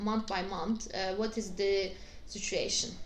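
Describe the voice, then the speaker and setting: With audible room echo, a woman speaks at a moderate pace and a fairly high pitch. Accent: Turkish. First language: Turkish. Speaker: astrologer. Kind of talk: video tutorial. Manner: halting, many fillers.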